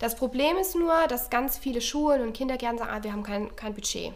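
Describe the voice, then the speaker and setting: A high-pitched woman's voice with a slight Swabian accent and ordinary pitch variation. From Baden-Württemberg, near Stuttgart. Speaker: relaxation trainer. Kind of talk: casual chat. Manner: hesitant, many fillers.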